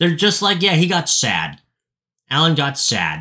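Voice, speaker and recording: A loud man with a fairly high pitch speaks in an animated tone with vocal fry. The recording is very clean, with a silent background. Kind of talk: casual chat.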